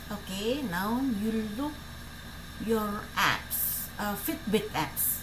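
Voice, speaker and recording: A woman speaks very slowly at a medium pitch with ordinary pitch variation, with audible room echo and noticeable background noise. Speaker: tech tutorial youtuber. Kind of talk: tutorial. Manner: halting, many fillers.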